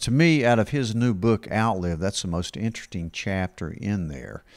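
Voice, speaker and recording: Moderate-paced speech from a man, quiet background. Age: 60s. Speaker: family doctor, podcast host. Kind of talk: casual chat. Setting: studio. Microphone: handheld.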